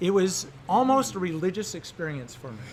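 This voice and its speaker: The speaker is a man going at a moderate pace. His voice carries audible room echo. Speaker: science teacher. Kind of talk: interview.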